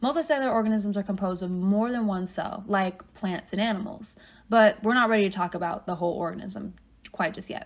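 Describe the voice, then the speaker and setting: The woman talks at a fairly quick pace. Her voice is somewhat breathy. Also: medium pitch for a woman, ordinary pitch variation. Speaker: college biology teacher. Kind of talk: lecture.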